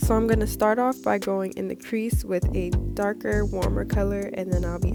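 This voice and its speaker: A woman talks at a fairly quick pace. Music plays behind her. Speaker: makeup artist. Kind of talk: makeup tutorial voiceover.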